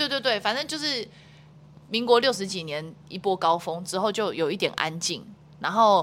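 With a Taiwanese accent, this speaker talks at a moderate pace with lively intonation. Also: woman, medium pitch for a woman. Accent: Taiwanese Mandarin. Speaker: wakeboard athlete and international judge. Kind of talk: casual interview.

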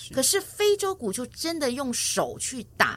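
Using very wide pitch swings, a woman with a Taiwanese accent speaks in a bright, sharp tone. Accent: Taiwanese Mandarin. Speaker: music teacher for seniors. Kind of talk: interview.

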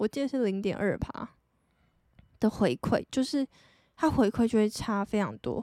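Soft-spoken with a Taiwanese accent, a woman of fairly high pitch and dark, mellow tone is captured with a dry, close sound and no echo. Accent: Taiwanese Mandarin. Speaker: podcast host. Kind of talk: casual solo talk. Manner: low-energy.

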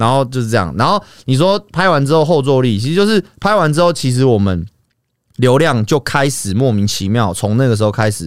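Very wide pitch swings mark this fairly quick delivery, captured in a very clean recording with a silent background. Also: man, medium pitch for a man. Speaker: YouTuber. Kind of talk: casual chat. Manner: animated.

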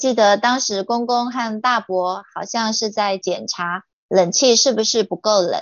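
At a fairly slow pace, a woman with a fairly high pitch and ordinary pitch variation speaks in a plain, everyday voice. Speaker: guest sharing life story. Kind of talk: testimony read from written notes.

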